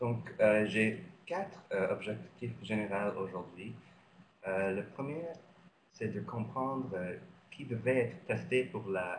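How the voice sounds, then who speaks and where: Lively intonation and vocal fry come through at a very slow pace with long, frequent pauses and audible room echo. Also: man, fairly low pitch for a man. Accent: non-native. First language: not French (speaking French). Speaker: physician and researcher. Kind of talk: lecture. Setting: webinar. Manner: halting, many hesitations.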